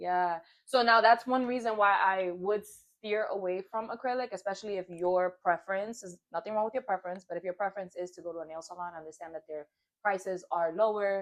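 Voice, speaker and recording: With a New York accent, a woman talks at a fairly quick pace and medium pitch, showing ordinary pitch variation and big swings in loudness. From Brooklyn, New York. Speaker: nail technician. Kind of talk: casual chat. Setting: home studio.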